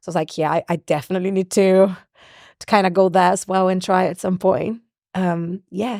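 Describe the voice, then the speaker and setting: With a Portuguese accent, a woman speaks fairly quickly at a medium pitch, her tone dark and mellow and her intonation monotone and flat, in a dry, close recording with no echo. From Brazil. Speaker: singer and songwriter. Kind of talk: interview. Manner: loud.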